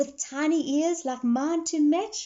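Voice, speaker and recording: A woman does a put-on character voice at a high pitch. She speaks at a fairly slow pace. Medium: read story.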